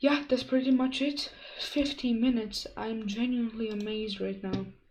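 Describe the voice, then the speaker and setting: Amid noticeable background noise and audible room echo, a woman speaks at a moderate pace and fairly high pitch with fairly even intonation. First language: Croatian. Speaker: streamer. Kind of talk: casual chat. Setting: live stream.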